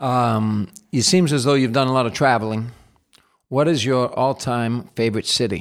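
A man at a medium pitch, ordinary pitch variation and a moderate pace, on a very clean recording with a silent background. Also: very even loudness. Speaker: podcast host. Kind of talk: casual interview. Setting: studio. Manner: enthusiastic.

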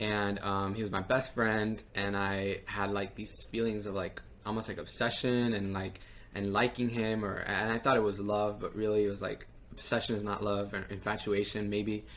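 A man talks at a moderate pace in a fairly low, flat, monotone voice. The room echo is audible. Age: 20s. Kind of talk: testimony.

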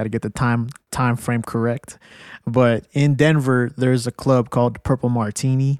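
A man talks at a medium pitch and a moderate pace in a monotone, flat delivery. The recording is very clean, with a silent background and a dry, close sound with no echo. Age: 30s. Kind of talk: casual chat.

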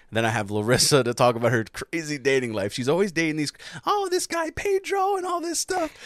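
This man talks fairly quickly, with noticeable noise in the background. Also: dry, close sound with no echo. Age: 30s. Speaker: podcast host. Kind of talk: casual chat.

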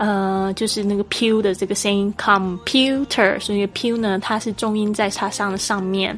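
Noticeable background noise sits behind a woman with a medium pitch. She speaks at a fairly slow pace in a monotone, flat intonation, with hardly any pauses. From Taiwan. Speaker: English teacher podcaster. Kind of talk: language lesson.

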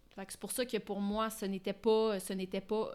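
At a moderate pace, a woman speaks at a medium pitch in a flat monotone. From Ottawa, Ontario (Franco-Ontarian). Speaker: screenwriter and director. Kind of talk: casual interview.

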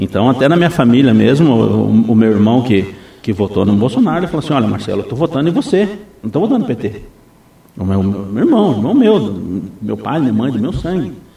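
Over noticeable background noise, a man talks at a fairly quick pace with lively intonation and long, frequent pauses. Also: medium pitch for a man. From Brazil, Foz do Iguaçu (Paraná). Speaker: municipal guard and vice-mayor candidate. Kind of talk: radio interview. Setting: radio studio. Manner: halting, many repetitions.

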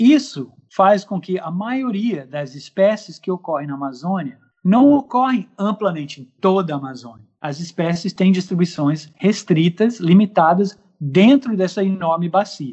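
A man with an English accent speaks at a fairly slow pace with hardly any pauses, his high-pitched voice carrying lively intonation. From United States. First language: English (speaking Portuguese). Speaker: ornithologist. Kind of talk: radio interview. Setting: remote recording.

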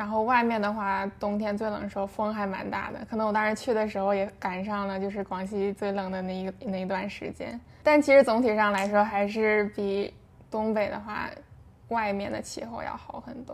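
This woman has a plain, everyday voice at medium pitch. She keeps a moderate pace with fairly even intonation. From Shenyang, northeast China. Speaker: guest. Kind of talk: casual chat. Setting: remote recording.

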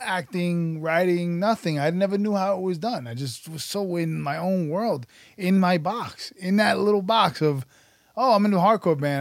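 A man speaks at a moderate pace with lively intonation. His is an unremarkable speaking voice. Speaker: actor and writer. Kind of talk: casual interview chat.

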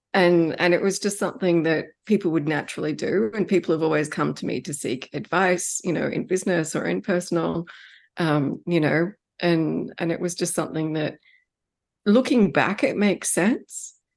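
Here is a woman with a fairly low pitch. Vocal fry runs through her voice. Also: ordinary pitch variation, moderate pace, quiet background. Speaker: hypnotherapist. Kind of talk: interview conversation.

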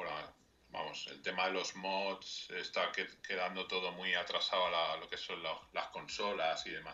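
A man with a Madrid accent, at a fairly slow pace. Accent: Castilian Spanish (Madrid). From Spain, Madrid. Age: 30s. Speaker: video game mod editor. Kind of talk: radio interview.

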